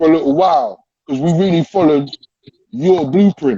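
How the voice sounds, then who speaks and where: With an English accent and fairly high pitch, a man talks at a moderate pace in an animated tone. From England. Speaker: UK hip hop artist. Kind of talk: casual chat.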